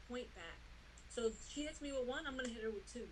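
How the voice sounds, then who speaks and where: In a New York accent, a woman talks at a fairly quick pace, with audible room echo. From US Northeast, New York City. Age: 30s. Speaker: boxer. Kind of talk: interview. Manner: casual, many fillers.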